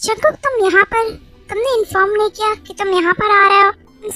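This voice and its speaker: A woman's put-on character voice at an extremely high pitch, fairly quick, with fairly even intonation and big swings in loudness, dry and close with no echo, faint music in the background. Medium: read story. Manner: grudging, self-interested.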